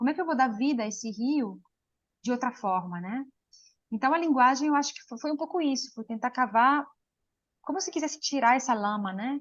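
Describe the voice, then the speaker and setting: A woman with a high pitch speaks at a fairly quick pace, with lively intonation and big swings in loudness. Her speech has long, frequent pauses. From Switzerland, Lugano (Italian-speaking). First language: Italian (speaking Portuguese). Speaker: poet. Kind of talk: interview. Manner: halting.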